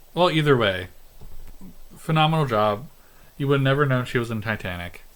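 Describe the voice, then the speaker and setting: A man's lively, fairly quick voice at a medium pitch with audible room echo. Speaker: podcast co-host. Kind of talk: casual chat.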